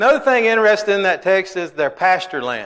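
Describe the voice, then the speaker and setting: A man's bright, sharp tone with a Southern US accent. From Alabama. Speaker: Bible class teacher. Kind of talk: Bible class lesson. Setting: church.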